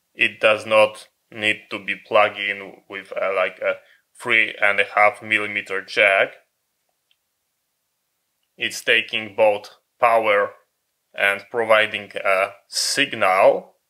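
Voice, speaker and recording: Very slow delivery with long, frequent pauses over a quiet background. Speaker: electronics reviewer. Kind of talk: product review commentary. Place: workshop.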